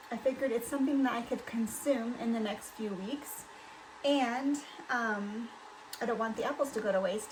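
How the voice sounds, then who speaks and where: Noticeable background noise surrounds a woman whose fairly high pitch and fairly even intonation hold across a moderate pace. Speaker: homesteading and canning vlogger. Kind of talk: casual cooking tutorial. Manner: halting, many fillers.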